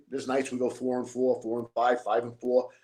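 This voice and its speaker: Using an ordinary speaking voice, a man talks at a fairly quick pace in a medium pitch. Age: 60s. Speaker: former mob enforcer. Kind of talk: interview.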